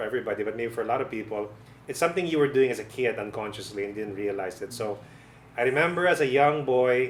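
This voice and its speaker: A man speaks at a medium pitch. His pace is very fast. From Philippines, Negros. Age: 40s. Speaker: filmmaker and film professor. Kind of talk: documentary interview. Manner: hesitant, with fillers and repetitions.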